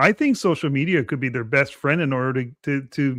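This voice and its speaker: A man with a Canadian accent has an ordinary speaking voice, fairly high in pitch. He talks at a fairly quick pace with ordinary pitch variation. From Canada. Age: 50s. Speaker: wrestling podcaster. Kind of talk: casual podcast chat.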